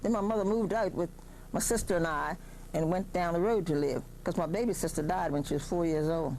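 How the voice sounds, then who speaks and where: A woman with an American accent talks at a fairly quick pace in a dark, mellow tone, her pitch fairly low and her loudness very even. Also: ordinary pitch variation. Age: 70s. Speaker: oral history interviewee. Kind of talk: oral history interview.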